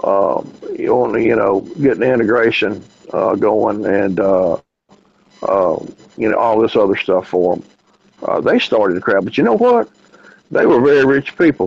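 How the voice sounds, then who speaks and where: A man speaks in a Southern US accent. He leaves long, frequent pauses. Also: moderate pace. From US South, Memphis. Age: 60s. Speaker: radio host. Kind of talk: casual chat. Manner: halting.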